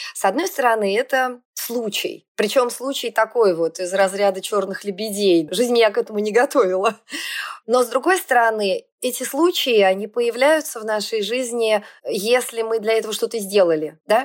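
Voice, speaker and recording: An ordinary speaking voice from a woman, fairly high in pitch, at a moderate pace. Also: ordinary pitch variation. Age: 50s. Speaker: factory owner and CEO. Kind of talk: casual interview.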